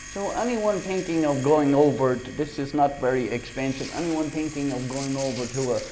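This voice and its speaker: A man at a fairly high pitch and moderate pace, with ordinary pitch variation, hardly any pauses and audible room echo. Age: 60s. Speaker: product reviewer. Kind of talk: product demonstration. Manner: halting.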